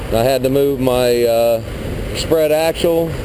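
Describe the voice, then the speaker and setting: Noticeable background noise behind a male speaker. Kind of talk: casual vlog explanation. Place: street. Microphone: phone near.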